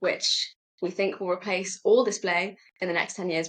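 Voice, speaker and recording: A woman with a British accent speaks at medium pitch and a moderate pace. Her intonation is monotone and flat. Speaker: startup executive. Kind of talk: podcast interview.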